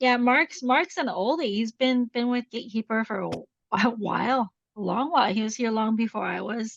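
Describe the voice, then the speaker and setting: In a dry, close recording with no echo, a woman with a Canadian accent uses a normal speaking voice, fairly high in pitch, at a moderate pace with ordinary pitch variation. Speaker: implementation consultant. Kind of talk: webinar presentation.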